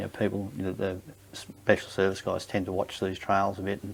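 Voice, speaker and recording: Very fast speech with an Australian accent. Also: man. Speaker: war veteran. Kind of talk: interview answer. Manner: hesitant, casual.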